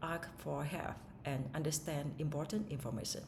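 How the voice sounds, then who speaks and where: In a Vietnamese accent, a woman speaks at a moderate pace with a very deep, low pitch, and audible room echo can be heard. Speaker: English learner. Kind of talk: speaking test practice. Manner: halting, with fillers and self-corrections.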